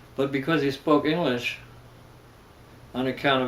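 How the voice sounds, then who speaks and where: A man's fairly even intonation carries through audible room echo and noticeable background noise. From Germany, then New York City. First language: German. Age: 70s. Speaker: religious leader. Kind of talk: interview. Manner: halting.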